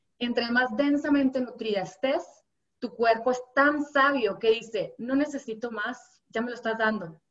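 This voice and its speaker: Her pitch high and varying in an ordinary way, a woman speaks at a fairly slow pace. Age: 30s. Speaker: health coach. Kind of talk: interview conversation. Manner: animated.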